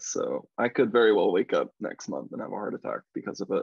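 With an American accent, a man talks at a fairly quick pace over a quiet background, the sound dry with no echo. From Missouri, USA. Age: 20s. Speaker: pop singer-songwriter. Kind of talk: interview answer. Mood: reflective, grateful. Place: home room. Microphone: video call.

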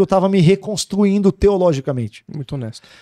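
A man's dark, mellow tone comes through in a dry sound with no echo. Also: quiet background. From Brazil, Santos (São Paulo coast); São Paulo, Brazil. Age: 40s. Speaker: pastor. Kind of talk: interview. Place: studio. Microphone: studio mic.

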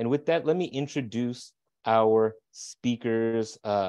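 Against a quiet background, a man speaks at a very slow pace. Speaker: webinar host. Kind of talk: webinar hosting and introduction. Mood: cheerful, welcoming. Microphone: earbuds.

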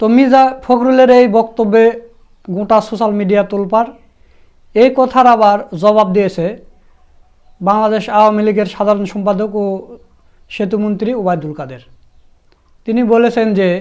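Here is a man with a high-pitched voice. His pitch varies in an ordinary way. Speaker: YouTube news channel host. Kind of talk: news commentary.

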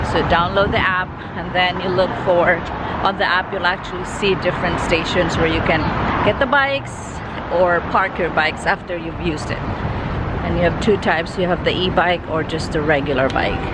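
At a moderate pace, a woman speaks with ordinary pitch variation in a dry sound with no echo, against loud background noise. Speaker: travel vlogger. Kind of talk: casual vlog chat. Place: street. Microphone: phone near.

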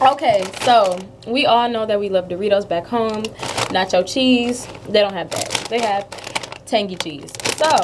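Long, frequent pauses over noticeable background noise. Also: woman, ordinary pitch variation, moderate pace. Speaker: food vlogger. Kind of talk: casual vlog chat. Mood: upbeat, chatty. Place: kitchen. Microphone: webcam.

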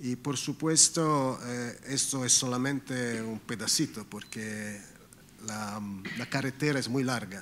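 The speaker has an Italian accent and moves at a very slow pace with ordinary pitch variation. Light background noise sits behind the voice. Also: man. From Italy. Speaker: government official. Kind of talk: formal speech. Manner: halting. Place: hall.

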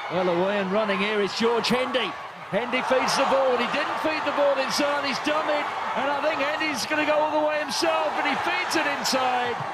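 Noticeable background noise sits behind a man with an extremely high pitch. He keeps a moderate pace and lively intonation. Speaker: match commentator. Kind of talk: live sports commentary, play-by-play. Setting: stadium commentary, broadcast.

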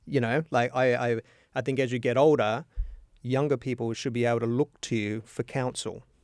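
A man with an Australian accent talks at a moderate pace in a medium-pitched, monotone voice with flat intonation. The background is quiet and the sound is dry, with no echo. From Australia, northern Adelaide. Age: 50s. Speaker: podcast host. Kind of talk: casual interview. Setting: studio. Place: studio. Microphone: studio mic.

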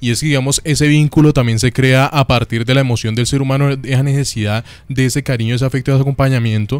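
A man talking at a very fast pace, with hardly any pauses, very even loudness and a dry sound with no echo. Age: 20s. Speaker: student radio host. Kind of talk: casual chat. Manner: animated. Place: studio.

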